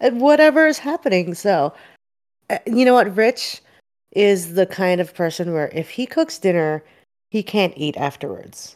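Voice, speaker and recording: An American-accented woman at a medium pitch, her voice swinging very widely up and down, at a moderate pace over a very clean recording with a silent background. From Philadelphia. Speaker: podcast co-host. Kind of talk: casual chat.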